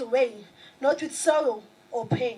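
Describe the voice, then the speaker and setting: A woman with a South African accent speaks at a fairly slow pace in a high voice. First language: Xhosa. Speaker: spoken word poet. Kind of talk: poetry performance.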